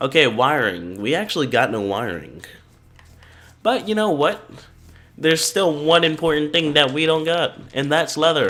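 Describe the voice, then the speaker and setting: A man with a fairly high pitch and vocal fry talks at a moderate pace, with very wide pitch swings. He leaves long, frequent pauses. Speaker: gaming YouTuber. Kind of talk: let's play commentary.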